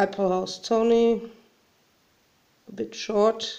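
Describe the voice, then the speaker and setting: Speaking at a very slow pace, a woman talks with a German accent. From Germany. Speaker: hobby crafter. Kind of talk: tutorial. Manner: halting.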